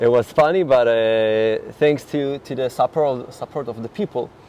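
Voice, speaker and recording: A man speaks with a Finnish accent. His pace is moderate. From Finland. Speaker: interview guest. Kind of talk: casual interview. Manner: halting, many repetitions.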